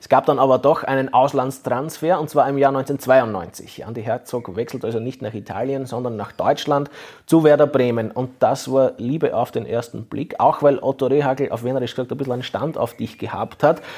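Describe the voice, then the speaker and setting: A man speaks at a moderate pace and medium pitch, with hardly any pauses and fairly even intonation. He has a normal speaking voice, with big swings in loudness. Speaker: sports journalist and podcast host. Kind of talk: interview.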